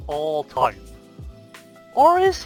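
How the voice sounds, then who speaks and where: A man with a strong Irish accent, dry and close with no echo, music in the background. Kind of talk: esports video essay narration. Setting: headset mic.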